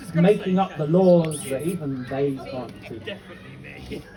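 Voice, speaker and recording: The speech has ordinary pitch variation over noticeable background noise. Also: man. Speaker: spoken word poet. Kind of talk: live spoken word poetry performance. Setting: live festival stage.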